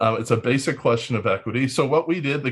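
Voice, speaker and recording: A somewhat breathy man's voice at a medium pitch. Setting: video call.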